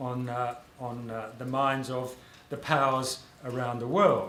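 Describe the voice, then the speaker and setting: A man with an Australian accent speaks in a room with audible echo. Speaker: author and public intellectual. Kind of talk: panel talk. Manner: halting, many fillers.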